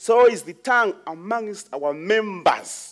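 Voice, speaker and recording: Over a quiet background, a man talks at a very slow pace. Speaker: preacher. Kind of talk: sermon. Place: church.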